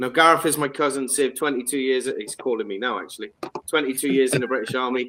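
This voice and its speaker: Speaking very fast, a man rattles through his words. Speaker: podcast host and veterans charity founder. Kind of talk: casual chat. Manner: loud.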